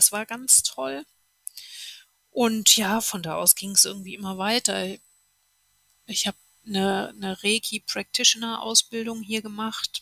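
A woman speaks at a fairly slow pace with long, frequent pauses, her pitch medium and its variation ordinary. The sound is dry and close, with no echo. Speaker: TV journalist and podcaster. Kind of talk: interview.

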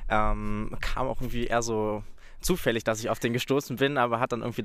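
A man talks at a fairly quick pace in a medium pitch. It is an ordinary speaking voice. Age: 20s. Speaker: university student. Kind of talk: casual chat. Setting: outdoors.

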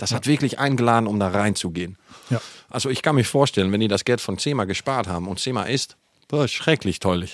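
A man with a medium pitch and ordinary pitch variation talks at a very fast pace. The recording is very clean, with a silent background. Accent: Dutch. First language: Dutch (speaking German). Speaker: podcast co-host, cosmetics company. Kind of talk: casual chat. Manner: halting.

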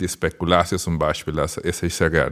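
A man speaks with a Spanish accent. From Dominican Republic. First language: Spanish (speaking German). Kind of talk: casual interview.

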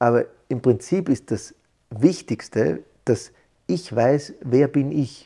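A man at a medium pitch, very slow and somewhat breathy, with lively intonation and long, frequent pauses. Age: 40s. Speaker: psychologist. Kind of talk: interview. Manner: halting.

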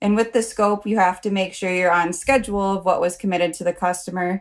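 A woman at medium pitch speaks with an American accent. Her intonation is monotone and flat, and the recording is very clean with a silent background. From United States. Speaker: project manager. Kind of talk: casual interview.

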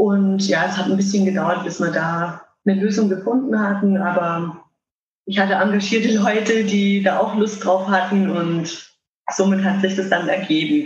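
A woman's medium-pitched voice at a moderate pace, fairly even in intonation, with audible room echo. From Germany, Würzburg (Lower Franconia). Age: 30s. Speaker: electric wheelchair hockey player. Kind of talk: interview.

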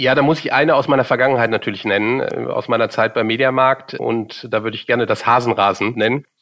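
Speaking very fast with hardly any pauses, a man holds a medium pitch. His intonation is fairly even, and the recording is very clean with a silent background. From Germany, Cologne. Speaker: marketing executive. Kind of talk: interview. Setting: studio.

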